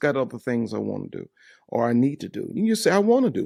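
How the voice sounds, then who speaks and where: This recording is very clean, with a silent background. The man in it speaks at a fairly high pitch. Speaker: pastor. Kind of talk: sermon.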